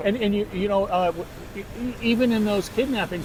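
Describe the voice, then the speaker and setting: Amid noticeable background noise, a man with a General American accent talks at a fairly quick pace in a high pitch, his intonation fairly even. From San Diego, California, USA. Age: 70s. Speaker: American expat. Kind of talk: interview answer. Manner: passionate.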